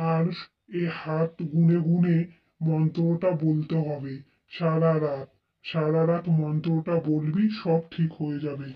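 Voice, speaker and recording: In a cartoonish character voice at a middle pitch, the speaker goes at a fairly slow pace with monotone, flat intonation. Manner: assured, commanding.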